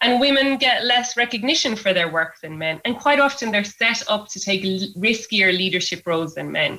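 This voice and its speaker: Here is a woman with an Irish accent and a fairly high pitch. Her intonation is lively. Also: moderate pace. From Ireland, Kilkenny. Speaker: environmental scientist and activist. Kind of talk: radio interview.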